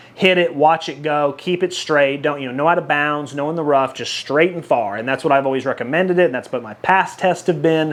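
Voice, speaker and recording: A man's voice moves with ordinary pitch variation against noticeable background noise. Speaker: golf ball reviewer. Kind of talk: product review. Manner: fast; casual, conversational.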